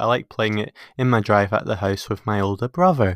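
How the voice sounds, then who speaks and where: Speaking very fast with a Scottish accent, a man with a fairly low pitch comes through a dry, close sound with no echo on a very clean recording over a silent background. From Scotland, Peebles. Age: 20s. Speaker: podcast host. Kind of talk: casual chat. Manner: hesitant.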